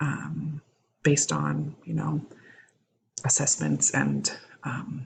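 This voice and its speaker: A quiet woman's voice. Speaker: education student. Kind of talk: recorded assignment reflection. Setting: home recording at night. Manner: halting with many fillers.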